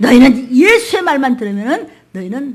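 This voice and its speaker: Lively intonation marks this woman's speech. Her voice comes across somewhat breathy. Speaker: pastor. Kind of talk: sermon. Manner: fast; animated.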